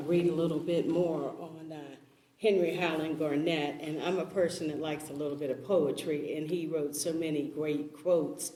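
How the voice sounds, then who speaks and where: A woman with a very deep, low voice talks at a moderate pace in a flat monotone. Room echo is audible, along with noticeable background noise. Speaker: panelist. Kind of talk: panel discussion. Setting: church event with audience.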